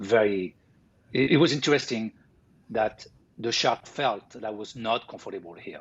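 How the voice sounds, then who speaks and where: A man's medium-pitched voice in a French accent, with ordinary pitch variation, big swings in loudness, a moderate pace and long, frequent pauses. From France (Paris). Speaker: sculptor. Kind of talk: interview. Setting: live stream interview. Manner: halting.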